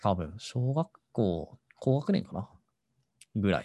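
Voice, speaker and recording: A man's dark, mellow voice with vocal fry. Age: 30s. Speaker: podcast host. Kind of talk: casual solo talk.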